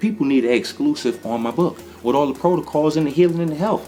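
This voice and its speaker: Animated and with an American accent, the voice swings very widely in pitch against noticeable background noise. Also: man. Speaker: holistic healer. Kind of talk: casual video monologue.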